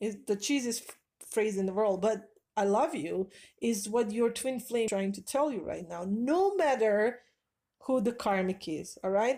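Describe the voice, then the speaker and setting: At a fairly slow pace, a woman with a non-native accent talks at a fairly high pitch in a dark, mellow tone with ordinary pitch variation. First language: not English. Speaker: spiritual advice vlogger. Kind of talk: casual monologue.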